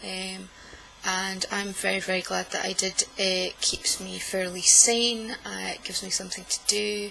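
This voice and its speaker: This woman speaks with a Scottish accent. Noticeable background noise runs behind her. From Scotland. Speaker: knitting vlogger. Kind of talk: casual vlog monologue. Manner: deliberately slow; hesitant, many fillers.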